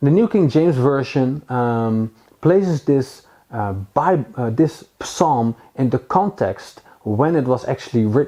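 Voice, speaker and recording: Lively in intonation, a man with a Dutch accent speaks at a medium pitch and fairly slow pace in a dark, mellow tone. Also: quiet background. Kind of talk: Bible teaching. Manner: halting, many fillers.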